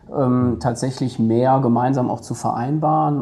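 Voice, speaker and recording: Noticeable background noise sits behind a man speaking at a moderate pace. His voice is medium in pitch, with fairly even intonation. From Germany, Ruhr area (Duisburg). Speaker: head of a city administration office. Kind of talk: podcast interview.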